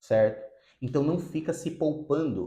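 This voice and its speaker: An ordinary speaking voice: a man with a fairly high pitch, ordinary pitch variation and a moderate pace. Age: 30s. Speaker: psychotherapist. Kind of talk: video monologue.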